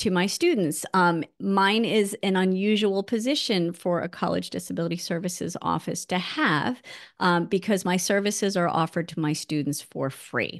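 Against a quiet background, a woman speaks at a moderate pace with hardly any pauses and ordinary pitch variation. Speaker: event host. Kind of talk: host introduction. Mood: warm, slightly nervous. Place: home room. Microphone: video call.

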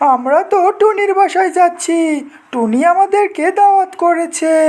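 A cartoonish character voice talks at a fairly slow pace. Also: woman, extremely high pitch for a woman.

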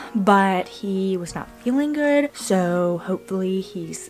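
Faint music plays in the background. Over it, a woman speaks. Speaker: family vlogger. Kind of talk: casual vlog chat. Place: home room. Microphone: phone near.

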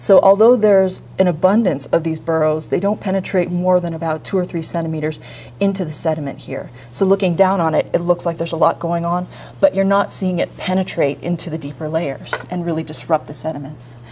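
The voice has a dark, mellow tone with vocal fry, moving at a fairly quick pace with ordinary pitch variation. Light background noise sits behind it. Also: woman, fairly low pitch for a woman. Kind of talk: lecture. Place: classroom.

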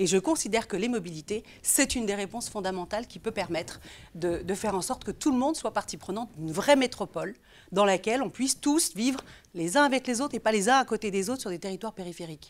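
Speech comes at a very fast pace with lively intonation. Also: woman, fairly high pitch for a woman. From France, Lyon; France. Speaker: local politician. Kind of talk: political interview. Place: studio. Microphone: lapel.

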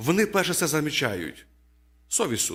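The tone is bright and sharp, at a moderate pace. It is a very clean recording with a silent background. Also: man. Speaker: preacher. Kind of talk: sermon.

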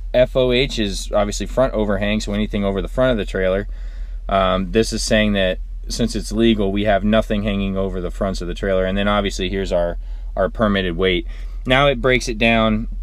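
A man talks at a fairly quick pace in a dry sound with no echo. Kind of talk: explanatory vlog chat. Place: car.

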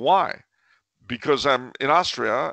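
A man speaks with vocal fry and a bright, sharp tone against a quiet background. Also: dry sound with no echo. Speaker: guest. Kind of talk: interview answer. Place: home room. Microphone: headset.

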